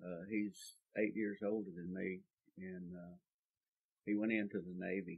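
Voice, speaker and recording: A man with a South Texas accent, his pitch very deep and low, at a moderate pace with monotone, flat intonation, big swings in loudness and long, frequent pauses. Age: 70s. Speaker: oral history interviewee. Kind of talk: oral history interview. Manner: halting, many fillers.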